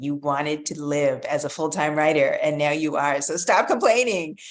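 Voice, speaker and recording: The speech moves at a moderate pace, with noticeable background noise behind it. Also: woman. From Canada, Ontario (Pickering/Toronto area). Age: 50s. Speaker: children's author. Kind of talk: interview.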